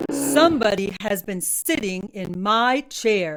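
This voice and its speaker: Putting on a growling character voice, a woman uses lively intonation at medium pitch and a fairly slow pace. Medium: read story.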